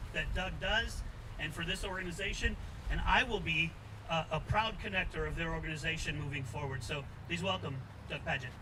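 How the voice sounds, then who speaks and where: Noticeable background noise fills the clip. A man speaks with lively intonation. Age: 60s. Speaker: political candidate. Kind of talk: campaign speech. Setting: outdoor rally at a farmer's market.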